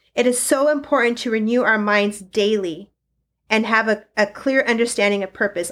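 In a very clean recording with a silent background, a woman with a plain, everyday voice speaks fairly slowly at a fairly high pitch with fairly even intonation. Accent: American. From eastern Washington, US. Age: 40s. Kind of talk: sermon-style teaching.

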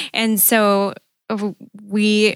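A woman speaks with a Wisconsin accent. The sound is dry and close with no echo, on a very clean recording with a silent background. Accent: Upper Midwest (Wisconsin). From Green Bay, Wisconsin. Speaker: church member, newlywed. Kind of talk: casual interview.

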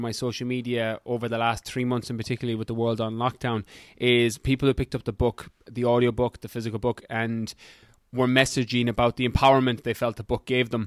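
A man with an Irish accent talks at a fairly quick pace in an enthusiastic, animated tone. The sound is dry and close, with no echo. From Ireland. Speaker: fitness coach and podcaster. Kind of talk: casual interview chat.

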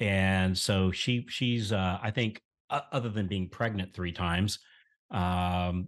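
Against a quiet background, a man with a Southern US accent speaks at a fairly slow pace and fairly low pitch with fairly even intonation. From US South, rural central Florida. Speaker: mortgage marketing coach. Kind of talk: interview.

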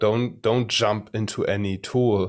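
A man speaks with a German accent. His fairly low voice keeps fairly even intonation. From Germany. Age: 30s. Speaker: personal branding and AI consultant. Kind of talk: interview. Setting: video call.

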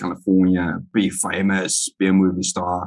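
Speaking at a moderate pace, a man has a very deep, low pitch. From South Africa, Johannesburg. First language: Afrikaans. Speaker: army veteran and writer. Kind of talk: casual interview chat. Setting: video call.

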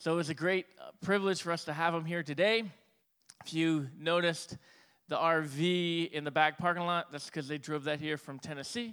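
A man's fairly high pitch carries a bright, sharp tone. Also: fairly even intonation, moderate pace, very clean recording, silent background. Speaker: lead pastor. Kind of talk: church announcements and introduction. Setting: church.

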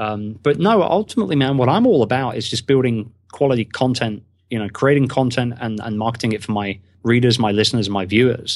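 Against a quiet background, a man with a British accent talks at a fairly quick pace, medium in pitch with ordinary pitch variation. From England. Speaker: podcaster and online business founder. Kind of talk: casual interview chat.

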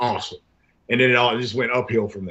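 A man with an American accent speaks at a medium pitch with fairly even intonation. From US South, Jacksonville, Florida. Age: 50s. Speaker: professional wrestler. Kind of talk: casual interview.

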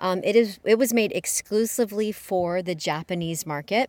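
A woman with an American accent speaks at medium pitch in a plain, everyday voice with ordinary pitch variation, on a very clean recording with a silent background. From Houston, Texas. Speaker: photoshoot business owner. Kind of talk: casual interview. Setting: sitting in a parked vintage car.

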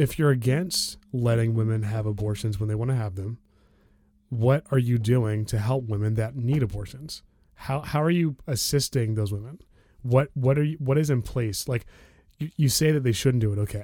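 A man's dark, mellow voice with an American accent, medium pitch, ordinary pitch variation and moderate pace, in a very clean recording with a silent background. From DC area, Maryland suburbs. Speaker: podcast host. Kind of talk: casual chat. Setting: at home.

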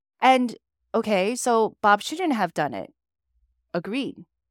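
A woman speaks fairly slowly with lively intonation in an ordinary speaking voice. The recording is very clean, with a silent background. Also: dry, close sound with no echo. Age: 40s. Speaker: corporate professional and success coach. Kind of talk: interview.

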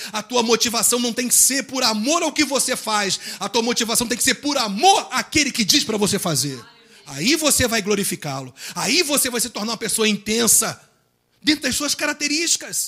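A man speaks with an extremely high pitch and lively intonation. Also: moderate pace. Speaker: pastor. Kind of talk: sermon. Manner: calm, soft-toned preaching.

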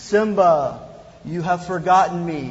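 A man's put-on character voice, high in pitch, at a fairly slow pace. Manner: solemn, commanding.

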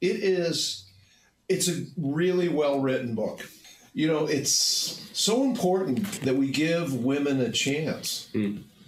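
Amid noticeable background noise and audible room echo, a man speaks very slowly in a fairly high pitch with lively intonation and very even loudness. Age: 70s. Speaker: podcast host. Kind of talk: casual chat. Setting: studio.

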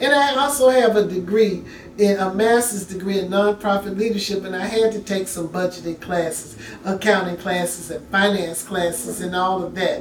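Amid noticeable background noise, a woman with a Southern US accent talks at a medium pitch and moderate pace with ordinary pitch variation. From Memphis, Tennessee. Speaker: mayoral candidate, city councilwoman. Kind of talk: interview.

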